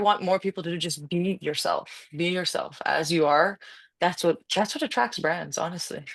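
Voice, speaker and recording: Against a quiet background, a woman with a fairly low pitch speaks in an unremarkable speaking voice. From Canada. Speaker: UGC content creator and coach. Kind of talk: casual interview chat. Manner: fast, rambling with false starts.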